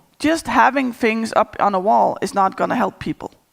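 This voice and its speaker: With a Danish accent, a woman speaks at a moderate pace and a fairly high pitch, using lively intonation and some vocal fry. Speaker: agile coach. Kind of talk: conference talk.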